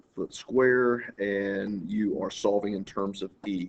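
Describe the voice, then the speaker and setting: Here a man with an ordinary speaking voice talks at a fairly low pitch with fairly even intonation. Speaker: math teacher. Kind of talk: tutorial.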